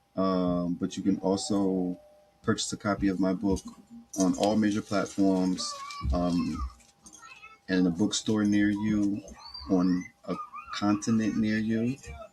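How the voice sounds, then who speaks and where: With an American accent, a man speaks at a fairly low pitch and a fairly slow pace, using fairly even intonation, very even loudness and long, frequent pauses as noticeable background noise continues. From US East Coast. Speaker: podcast host. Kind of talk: casual monologue. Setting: home recording on laptop.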